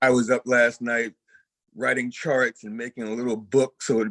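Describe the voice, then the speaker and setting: A man with a plain, everyday voice talks at medium pitch, the sound dry and close with no echo. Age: 60s. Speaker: bassist and music producer. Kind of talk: casual interview chat.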